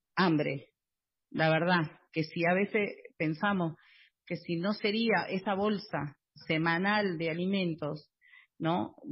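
Very slowly and somewhat breathily, a woman speaks with long, frequent pauses. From Buenos Aires, Argentina. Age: 40s. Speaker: housing cooperative resident and activist. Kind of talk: interview. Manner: halting, many fillers.

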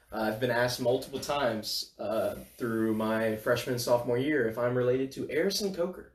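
Medium-pitched male voice at a fairly quick pace, hardly any pauses, with noticeable background noise. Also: ordinary pitch variation. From northern Louisiana, Bossier City. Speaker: college student podcast co-host. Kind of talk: casual chat.

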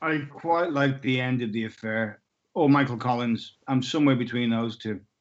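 Speaking fairly slowly, a man uses a medium pitch. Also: ordinary pitch variation. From UK. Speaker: film actor. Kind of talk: interview. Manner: halting.

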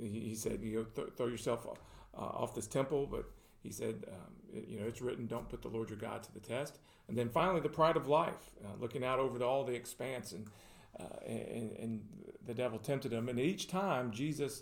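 A man with a Middle Tennessee accent, medium pitch, vocal fry and a moderate pace. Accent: Southern US (Middle Tennessee). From Tennessee (Murfreesboro). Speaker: pastor. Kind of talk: casual chat. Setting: studio.

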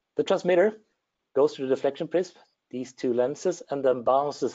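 A man speaks at a fairly quick pace with a Swedish accent. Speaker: engineer. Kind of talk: technical presentation.

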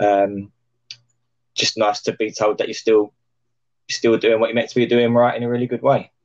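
At a moderate pace and medium pitch, a man speaks in a monotone, flat way, with long, frequent pauses. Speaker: trainer and tutor. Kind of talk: casual chat.

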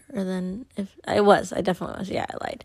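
A woman with a fairly low pitch, at a moderate pace. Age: 20s. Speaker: podcast host and single mother. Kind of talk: personal storytelling monologue. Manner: casual, filler-heavy.

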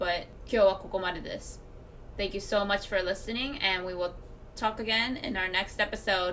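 Over noticeable background noise, a woman talks at a very slow pace with medium pitch and fairly even intonation. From Japan. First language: Japanese. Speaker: podcast co-host. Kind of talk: casual chat; scripted outro.

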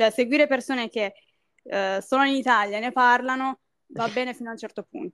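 A woman's high-pitched voice at a fairly quick pace, with ordinary pitch variation and big swings in loudness, in a dry, close sound with no echo and a very clean recording with a silent background. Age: 20s. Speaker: university student. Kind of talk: casual chat.

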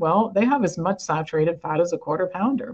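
Speaking with a normal speaking voice, a woman uses lively intonation at a fairly quick pace and fairly low pitch. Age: 60s. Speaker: wellness organization president. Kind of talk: interview.

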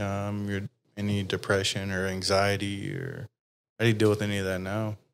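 In a very clean recording with a silent background, a man with a Texas accent speaks at a fairly low pitch. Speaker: podcast host. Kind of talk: casual interview chat. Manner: casual, profane.

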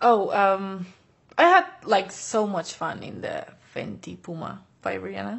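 A woman with a Spanish accent, fairly slow, her loudness swinging widely. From Basque Country, Spain (Bilbao). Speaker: fashion model. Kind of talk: interview. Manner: hesitant, filler-heavy.

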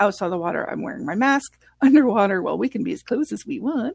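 A woman talks at a fairly quick pace with vocal fry and very wide pitch swings, recorded with a dry, close sound and no echo. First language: French. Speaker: scuba instructor. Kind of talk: casual interview chat.

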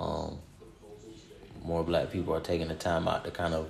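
A man is speaking. His pitch is very deep and low. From Ohio. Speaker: podcast host. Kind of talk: casual chat.

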